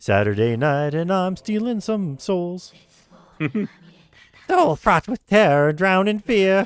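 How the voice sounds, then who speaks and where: In a put-on character voice at a middle pitch, the speaker moves at a fairly slow pace with long, frequent pauses. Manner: menacing, theatrical.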